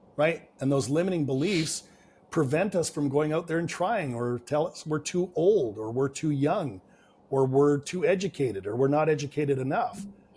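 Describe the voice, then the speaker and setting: A man talks at a moderate pace with a Canadian accent and lively intonation. His voice is fairly high, somewhat breathy and dark and mellow in tone. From Canada. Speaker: business and real estate coach. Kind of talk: podcast interview.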